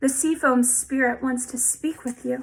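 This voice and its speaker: A woman speaks at a moderate pace in a put-on character voice, pitched high. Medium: read story. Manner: friendly.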